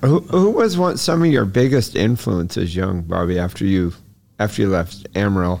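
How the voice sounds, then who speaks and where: Here is a man with a plain, everyday voice and a fairly low pitch. He talks at a moderate pace with lively intonation and very even loudness. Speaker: podcast co-host. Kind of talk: casual interview chat.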